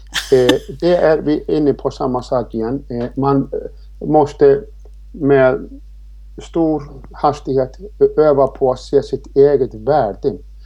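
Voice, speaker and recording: A man with an Icelandic accent at a very slow pace, with long, frequent pauses. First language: Icelandic (speaking Swedish). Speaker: riding instructor and author. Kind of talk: interview. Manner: hesitant, many fillers.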